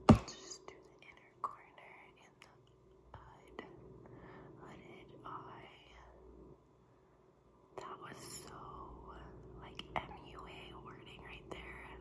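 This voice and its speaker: Over loud background noise, a woman speaks at a very slow pace. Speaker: ASMR content creator. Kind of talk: ASMR personal attention role play. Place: kitchen. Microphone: phone near.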